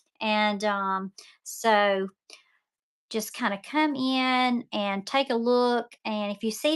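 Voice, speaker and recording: On a very clean recording with a silent background, a woman with a Southern US accent speaks at a fairly high pitch. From Mississippi, US South. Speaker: online seller and painting instructor. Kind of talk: live-stream sales demo while painting. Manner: chatty, talkative; hesitant, many fillers.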